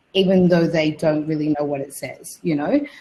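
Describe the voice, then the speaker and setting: Somewhat breathy, a woman with an Australian accent speaks at a moderate pace. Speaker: radio presenter and panelist. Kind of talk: webinar panel discussion. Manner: casual, halting with many fillers.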